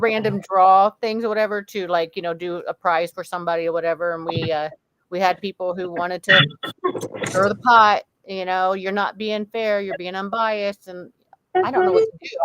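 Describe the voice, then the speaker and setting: A woman with a Midwestern American accent talks at a fairly quick pace and medium pitch, with fairly even intonation and big swings in loudness. The sound is dry and close, with no echo. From US Midwest. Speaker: podcast host. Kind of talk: casual chat.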